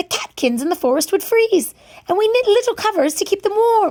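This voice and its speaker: Squeaky and extremely high, a woman's put-on character voice goes at a fairly quick pace. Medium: read story.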